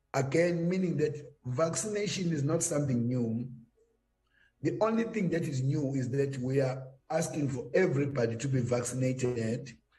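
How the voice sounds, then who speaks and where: Somewhat breathy and fairly high in pitch, a man speaks at a moderate pace with a dark, mellow tone and ordinary pitch variation, his voice carrying audible room echo. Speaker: government health official. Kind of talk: panel discussion.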